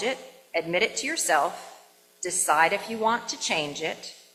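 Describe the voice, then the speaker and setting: A woman talks at a moderate pace with lively intonation. Noticeable background noise runs underneath. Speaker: minister. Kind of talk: sermon to a congregation. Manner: warm, joyful, enthusiastic.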